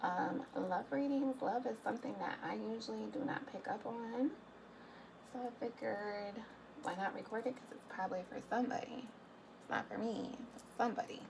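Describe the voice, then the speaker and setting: Over noticeable background noise, a woman with a fairly high pitch talks at a moderate pace, showing ordinary pitch variation and big swings in loudness. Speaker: tarot reader. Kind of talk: tarot reading monologue. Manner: hesitant, many fillers. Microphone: quiet recording.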